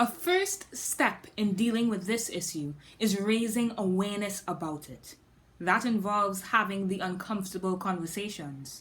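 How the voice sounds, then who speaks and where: A woman speaks in a somewhat breathy voice at a moderate pace. Her intonation stays fairly even. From Trinidad and Tobago. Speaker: spoken word poet. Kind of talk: scripted talk; poetry performance.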